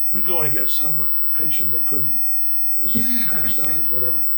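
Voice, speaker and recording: Recorded with audible room echo and noticeable background noise, a man talks with an American accent. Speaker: retired volunteer firefighter and EMT. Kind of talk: oral history interview. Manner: halting, many repeated words.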